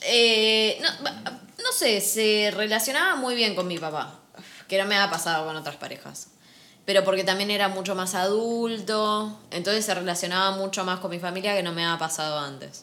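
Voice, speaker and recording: A woman with a bright, sharp tone talks at medium pitch and a moderate pace, with ordinary pitch variation. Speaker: podcast co-host. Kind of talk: casual chat.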